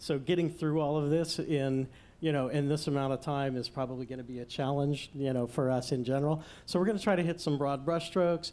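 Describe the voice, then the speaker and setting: Fairly quick and fairly even in intonation, a man speaks at a fairly high pitch in a dark, mellow tone. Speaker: panel moderator. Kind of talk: panel discussion. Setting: stage with audience. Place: hall. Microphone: studio mic.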